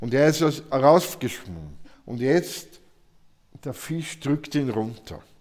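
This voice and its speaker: Very slowly and with long, frequent pauses, a man with a fairly high pitch speaks with ordinary pitch variation and big swings in loudness. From Austria, southern Burgenland. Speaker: painter. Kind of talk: interview. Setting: artist's studio.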